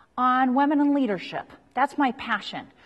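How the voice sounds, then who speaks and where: A high-pitched woman's voice with an American accent. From US, Utah. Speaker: leadership researcher and lecturer. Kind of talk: workshop talk. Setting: live audience.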